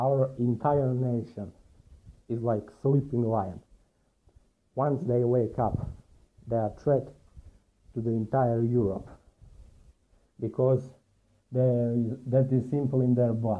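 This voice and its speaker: A man with a Montenegrin accent talks at a very slow pace with long, frequent pauses, at a medium pitch and with fairly even intonation. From Montenegro. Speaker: commentator. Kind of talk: video commentary.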